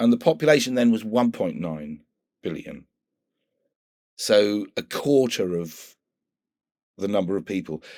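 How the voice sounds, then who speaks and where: A man at a medium pitch with a British accent, lively intonation, a fairly slow pace and long, frequent pauses, on a very clean recording with a silent background. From UK. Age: 60s. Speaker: environmental activist. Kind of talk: interview conversation.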